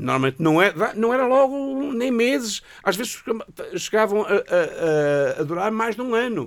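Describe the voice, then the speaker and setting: A man's high voice swings very widely in pitch while he keeps a moderate pace. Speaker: radio show guest. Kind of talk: casual chat. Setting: radio studio.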